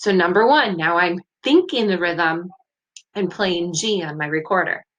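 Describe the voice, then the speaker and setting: A woman with a normal speaking voice talks at a moderate pace, at a medium pitch with ordinary pitch variation. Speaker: music teacher. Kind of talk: tutorial.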